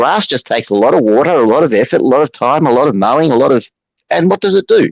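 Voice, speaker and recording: A man with an Australian accent in a dry, close sound with no echo. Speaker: livestream viewer on panel. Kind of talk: casual chat.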